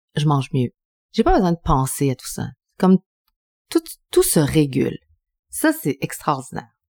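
At a moderate pace, a woman speaks with long, frequent pauses and big swings in loudness. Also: dry, close sound with no echo. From Quebec City, Quebec (Chilean family). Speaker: TV journalist and cooking show host. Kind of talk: casual interview.

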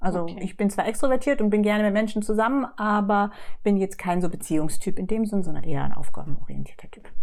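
The speaker talks at a very fast pace. Pitch varies in an ordinary way. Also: woman, medium pitch for a woman. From southwest Germany, Lörrach. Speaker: church secretary and foster mother. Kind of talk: podcast interview.

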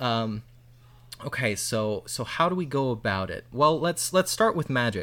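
Speaking with a Midwestern American accent, a man uses a bright, sharp tone at medium pitch, with lively intonation and a fairly slow pace. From US Midwest, northwest Ohio. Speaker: app developer and user experience researcher. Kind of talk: casual interview conversation. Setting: in person at a lake house.

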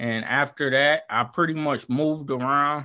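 Speaking with a Southern US accent, a man goes at a fairly slow pace with fairly even intonation. His tone is bright and sharp over a quiet background. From Alabama, Montgomery. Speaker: small business owner. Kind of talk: casual interview.

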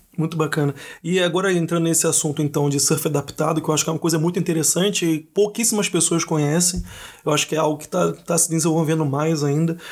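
A man talks at a very fast pace with a fairly high pitch. His intonation stays fairly even. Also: very even loudness. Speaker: podcast host. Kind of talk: podcast interview.

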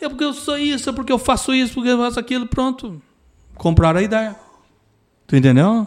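Extremely high-pitched male speech at a fairly quick pace, with ordinary pitch variation and long, frequent pauses. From Rio Grande do Sul, Pelotas. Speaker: retired military police sergeant, traffic safety specialist. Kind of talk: casual interview chat.

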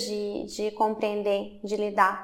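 A woman talks at a very slow pace. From Brazil, Belo Horizonte, Minas Gerais. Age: 30s. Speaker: artist and film student. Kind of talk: interview. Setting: art university building.

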